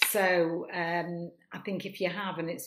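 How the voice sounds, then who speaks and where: The voice has a Manchester accent and monotone, flat intonation. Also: woman. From northern England, Manchester. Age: 70s. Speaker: improv performer and actor. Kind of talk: casual chat.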